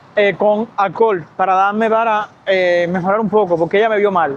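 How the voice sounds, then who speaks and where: A man speaks with a Cuban accent. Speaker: medical worker vlogger. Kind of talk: casual storytelling vlog. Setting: outdoors by a lagoon. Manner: fast; animated.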